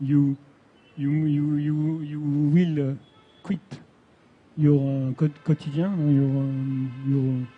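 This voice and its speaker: Music plays behind a man with a French accent. He speaks very slowly, fairly high in pitch, with fairly even intonation. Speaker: science fiction writer. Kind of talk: panel discussion. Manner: halting.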